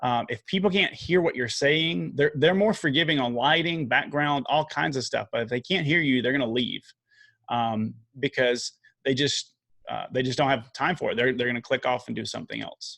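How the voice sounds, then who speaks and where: With a Southern US accent, a man speaks at a moderate pace in a fairly high pitch, with lively intonation and vocal fry. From US South. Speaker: video marketing coach. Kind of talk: podcast interview. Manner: casual, many fillers.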